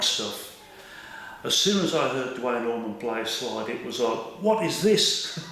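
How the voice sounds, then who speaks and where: Over noticeable background noise and audible room echo, a man speaks at a fairly slow pace with lively intonation. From West Midlands, England (Birmingham). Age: 60s. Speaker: glass slide maker. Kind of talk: interview. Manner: hesitant, many fillers.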